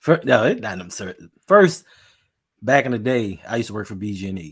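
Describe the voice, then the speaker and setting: A man with a fairly low pitch speaks at a fairly quick pace. His intonation is lively, and his loudness swings a lot. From Baltimore, Maryland. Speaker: podcast co-host. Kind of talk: casual chat.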